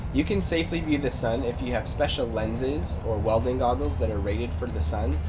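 Clear music plays in the background as a man with a fairly low pitch speaks at a very fast pace. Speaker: science educator. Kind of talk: tutorial. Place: garden.

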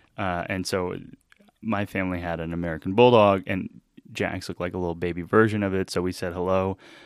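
A man talks very fast in a very deep, low, monotone, flat voice. The sound is dry with no echo, over a quiet background. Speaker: podcast guest. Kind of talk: casual interview. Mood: friendly, smiling storytelling.

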